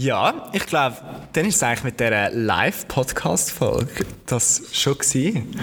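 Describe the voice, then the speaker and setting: Noticeable background noise sits behind a man whose fairly high pitch carries lively intonation. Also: fairly slow pace, very even loudness. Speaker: podcast host. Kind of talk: live podcast conversation. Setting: museum with live audience.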